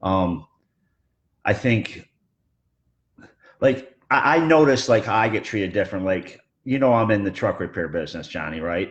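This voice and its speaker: The speech moves at a moderate pace with lively intonation and long, frequent pauses. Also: man, fairly low pitch for a man. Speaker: truck repair business owner. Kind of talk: casual discussion. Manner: loud.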